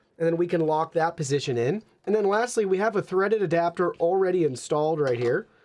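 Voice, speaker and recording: A man talks in a high voice. The background is quiet. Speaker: tech product reviewer. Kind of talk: product review tutorial. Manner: loud.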